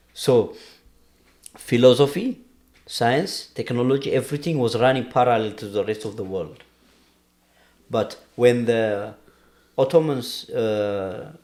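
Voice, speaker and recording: A man speaks with an Ethiopian accent at a fairly slow pace. Long, frequent pauses break up his speech. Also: medium pitch for a man, ordinary pitch variation. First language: Amharic. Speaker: podcast guest discussing history. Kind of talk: casual conversation. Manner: halting.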